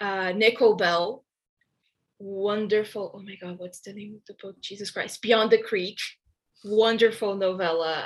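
Her loudness swings widely as a woman talks at a moderate pace and medium pitch with fairly even intonation. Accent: Portuguese. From Brazil. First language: Portuguese. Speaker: book reviewer. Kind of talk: casual interview.

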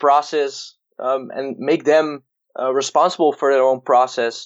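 A man speaks with a Dutch accent. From Netherlands. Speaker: baseball hitting and performance coach. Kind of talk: interview.

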